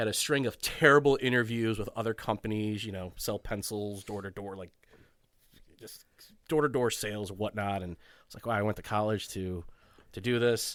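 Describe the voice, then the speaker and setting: With a Chicago accent, a man speaks fairly low at a moderate pace with ordinary pitch variation on a very clean recording with a silent background. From Chicago area, US Midwest (Schaumburg). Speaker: financial professional, podcast guest. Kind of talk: casual podcast interview chat.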